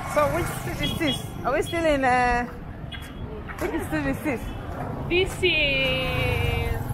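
Clear background music behind a woman speaking. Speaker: vlogger. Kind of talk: casual vlog chat. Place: street. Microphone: phone near.

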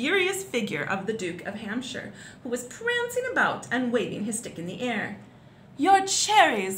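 Simply an unforced reading voice

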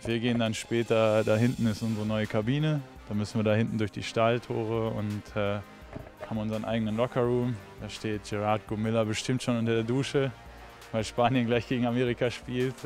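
Faint music sits in the background as a man talks fairly quickly in monotone, flat intonation, with a dry sound with no echo. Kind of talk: casual behind-the-scenes tour chat. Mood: cheerful, laughing. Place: hall. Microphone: handheld.

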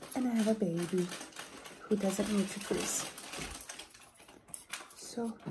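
Against noticeable background noise, a soft-spoken woman whispers at a fairly slow pace. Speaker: ASMR creator. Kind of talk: soft-spoken ASMR craft chat. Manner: soft-spoken, whispered. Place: home room. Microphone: phone near.

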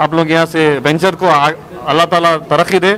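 Over faint background noise, a man with a fairly high, fairly bright voice talks at a fairly quick pace with fairly even intonation.

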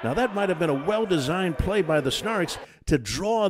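Energetic in tone, a man rattles along at a very fast pace with very wide pitch swings. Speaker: professional radio play-by-play announcer. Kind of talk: sports play-by-play commentary. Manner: fast, fluent, energetic.

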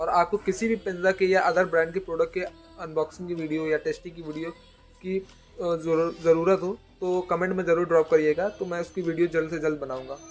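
Faint music plays behind a man whose high-pitched voice stays monotone and flat at a moderate pace. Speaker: product reviewer. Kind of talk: unboxing commentary. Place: shop.

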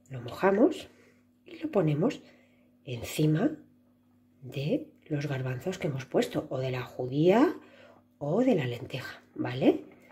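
At a very slow pace, a woman pauses long and often while her loudness swings widely. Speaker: preschool teacher. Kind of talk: craft tutorial for children.

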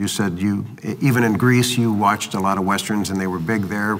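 Light background noise sits behind a man's voice. His pitch is fairly low with ordinary variation. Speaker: western film interviewer. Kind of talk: interview. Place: studio. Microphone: lapel.

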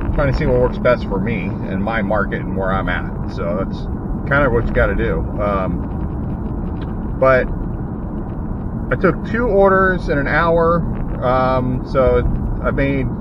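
Over loud background noise, a man speaks at a fairly slow pace with long, frequent pauses, his sound dry with no echo. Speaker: delivery driver vlogger. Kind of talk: casual vlog chat. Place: car. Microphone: phone near.

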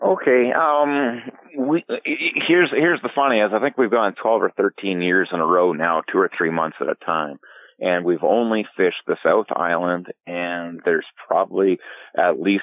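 With a Canadian accent, a man talks at a moderate pace. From Alberta, Canada. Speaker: fly fishing filmmaker and guide. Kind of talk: casual interview. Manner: halting, many fillers.

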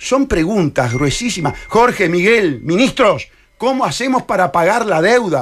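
A man with a Uruguayan accent speaks at a high pitch, his voice swinging very widely. His pace is moderate, and light background noise is present. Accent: Rioplatense Spanish (Uruguayan). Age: 60s. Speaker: presidential candidate; candidate. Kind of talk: radio interview. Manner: animated. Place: studio. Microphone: studio mic.

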